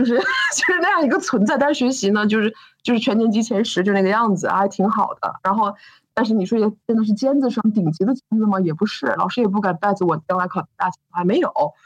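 A woman speaks very fast in a fairly high, somewhat breathy voice with lively intonation. She has a slight northeastern Chinese accent. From Northeast China. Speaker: business founder and CEO. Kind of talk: interview.

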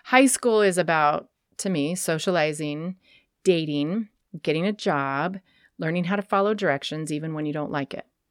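Recorded very cleanly with a silent background, a woman with an American accent talks at a moderate pace in a fairly low pitch, dry and close with no echo. Hers is a normal speaking voice with ordinary pitch variation. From Sacramento, California. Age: 50s. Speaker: bar owner and writer. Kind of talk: casual chat.

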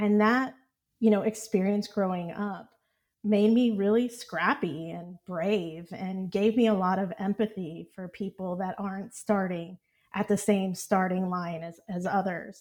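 Speaking fairly slowly with an American accent, a woman has an unremarkable speaking voice, a medium pitch, fairly even intonation and big swings in loudness. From Texas, Houston area. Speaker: startup CEO. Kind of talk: interview.

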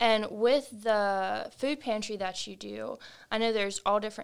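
A woman with a normal speaking voice, medium pitch, fairly even intonation and moderate pace, on a very clean recording with a silent background. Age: young. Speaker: podcast co-host. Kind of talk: casual interview chat.

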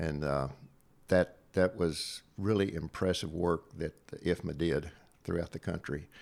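A man with an American accent, very deep and low in pitch, fairly even intonation at a moderate pace, on a very clean recording with a silent background. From Southwest Virginia. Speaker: retired state fire marshal. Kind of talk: casual interview conversation. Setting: in-person studio.

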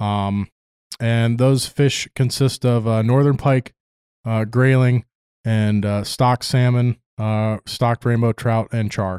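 A man with an American accent speaks very slowly in a medium-pitched, monotone, flat voice, recorded very cleanly with a silent background and a dry, close sound with no echo. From US Midwest, Chicago suburbs. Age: 20s. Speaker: fishing guide, Army veteran. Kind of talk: casual interview chat.

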